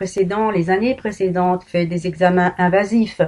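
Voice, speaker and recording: A woman speaks at a fairly slow pace in a medium pitch, her tone dark and mellow and her intonation fairly even. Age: 60s. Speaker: patient and vlogger. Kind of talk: personal testimony. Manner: emotional, emphatic.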